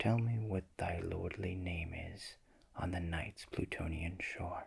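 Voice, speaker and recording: A soft-spoken man with a gentle tone, a very deep, low pitch, somewhat breathy delivery, fairly even intonation, and a very slow pace. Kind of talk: poetry reading, ASMR. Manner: soft-spoken, gentle.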